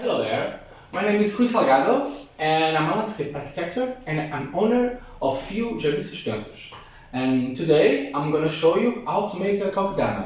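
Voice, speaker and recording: A man's high-pitched voice with a non-native accent, very wide pitch swings and a moderate pace, amid noticeable background noise and audible room echo. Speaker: landscape architect. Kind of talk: tutorial. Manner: halting.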